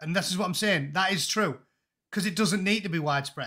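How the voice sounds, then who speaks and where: Against a quiet background, a man with an English accent speaks at a high pitch with ordinary pitch variation. His tone is animated, bright and sharp. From England. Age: 40s. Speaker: former Royal Marine and YouTuber; YouTuber. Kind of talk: casual chat. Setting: video call. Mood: exasperated, opinionated. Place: home room. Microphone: earbuds.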